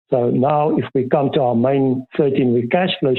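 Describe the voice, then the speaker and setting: Using a plain, everyday voice, a man speaks fairly slowly in a fairly high pitch. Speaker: financial consultant presenting a workshop. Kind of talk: workshop presentation.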